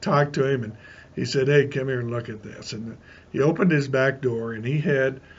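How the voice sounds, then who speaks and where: A somewhat breathy man at a fairly quick pace, with big swings in loudness. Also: medium pitch for a man, fairly even intonation. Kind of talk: casual spoken reminiscence. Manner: folksy, rambling.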